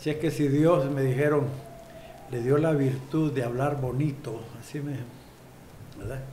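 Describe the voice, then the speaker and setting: A man talks at a fairly slow pace with long, frequent pauses and monotone, flat intonation, with audible room echo and noticeable background noise around him. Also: fairly high pitch for a man. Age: 60s. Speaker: politician. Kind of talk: interview.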